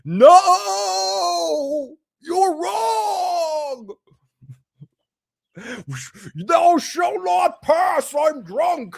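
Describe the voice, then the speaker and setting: With long, frequent pauses, a put-on character voice crawls at a very slow pace through very wide pitch swings. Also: man, extremely high pitch for a man. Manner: slurring, stretched-out words.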